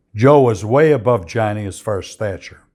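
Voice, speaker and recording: A man speaks at a medium pitch with lively intonation and an American accent. The recording is very clean, with a silent background. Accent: Chicago working-class. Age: 80s+. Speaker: former mobster telling stories. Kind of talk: casual monologue answering viewer questions.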